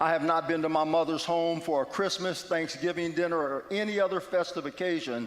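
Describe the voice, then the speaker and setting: A man with an American accent and fairly high pitch speaks with ordinary pitch variation amid audible room echo. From West Virginia. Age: 60s. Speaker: guest speaker at church. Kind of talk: testimony. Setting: church.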